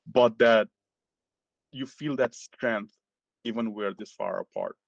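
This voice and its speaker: A man speaks with a Nepali accent. His pace is fairly slow. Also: dry, close sound with no echo. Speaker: physician. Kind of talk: interview.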